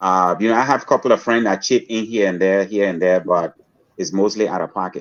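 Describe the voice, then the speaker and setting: A man with a plain, everyday voice, a fairly low pitch, a fairly quick pace and fairly even intonation. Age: 60s. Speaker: social entrepreneur and school founder. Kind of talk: interview. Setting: podcast interview.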